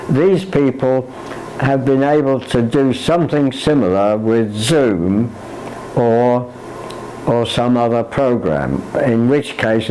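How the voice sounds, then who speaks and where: At a very slow pace, a man talks with medium pitch and ordinary pitch variation. Background noise is noticeable. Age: 80s+. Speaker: computer learner. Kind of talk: interview answer. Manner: hesitant.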